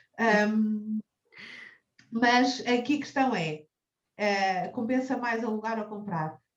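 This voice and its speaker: Speaking very slowly with long, frequent pauses, a woman uses a fairly high pitch. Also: ordinary pitch variation. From Portugal, Cascais. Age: 30s. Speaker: personal finance advisor. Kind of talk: interview. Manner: halting, frequent repetitions.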